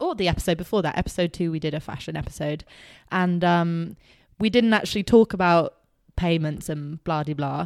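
A woman speaks at a fairly quick pace with a fairly low pitch and ordinary pitch variation. The very clean recording is dry and close, with no echo and a silent background. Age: 20s. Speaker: podcast co-host. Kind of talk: casual chat. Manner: animated.

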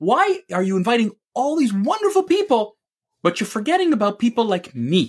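With very wide pitch swings, a man talks in an extremely high pitch. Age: 50s. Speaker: sales executive and podcast host. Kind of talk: angry opinion rant against the school system. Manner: heated, fast and emphatic, talking over his co-host.

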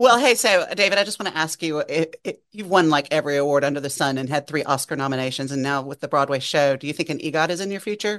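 A woman with a Southern US accent talks very fast in a very deep, low voice with lively intonation. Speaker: radio host. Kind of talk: casual interview and podcast chat.

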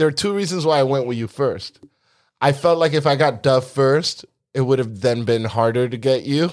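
A man with an American accent talks at a moderate pace in a normal speaking voice, medium in pitch with ordinary pitch variation. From New York City (Bronx). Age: 40s. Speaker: podcast co-host, bartender. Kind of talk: casual chat.

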